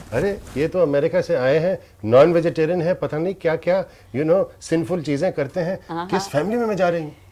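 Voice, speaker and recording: A man's high voice with ordinary pitch variation. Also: moderate pace. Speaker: interviewer. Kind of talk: interview questions.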